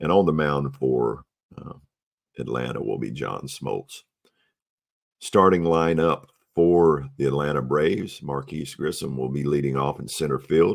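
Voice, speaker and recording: A man talks at a fairly slow pace in a very deep, low voice. His speech has long, frequent pauses. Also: ordinary pitch variation. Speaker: tabletop baseball replay narrator. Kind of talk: game replay commentary. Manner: hesitant, many fillers.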